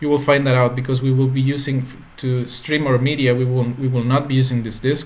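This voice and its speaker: A man with a Spanish accent speaks fairly quickly at a medium pitch, his intonation flat and monotone. There is audible room echo. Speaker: tech tutorial creator. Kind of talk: tutorial. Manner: halting.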